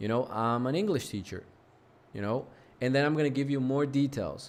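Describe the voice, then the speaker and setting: A man talks fairly quickly in a normal speaking voice, his medium pitch showing ordinary variation. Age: 20s. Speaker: English teacher. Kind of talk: online lesson.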